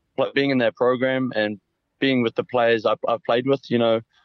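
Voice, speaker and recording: A man with a New Zealand accent, moderate pace and monotone, flat intonation. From New Zealand, Auckland. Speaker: rugby player. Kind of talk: interview. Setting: phone call.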